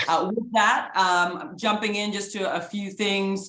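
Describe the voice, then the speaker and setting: With a slight Canadian accent, the speaker sounds energetic and animated, and audible room echo comes through. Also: woman. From Canada. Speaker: sports executive, guest speaker. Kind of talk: guest lecture to students. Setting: video call. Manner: energetic, animated.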